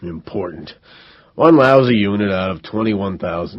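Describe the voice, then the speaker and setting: Putting on a character voice, a man speaks at a moderate pace with a rumbling, raspy, fairly low pitch and lively intonation. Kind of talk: sarcastic, complaining. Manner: grumbling, annoyed.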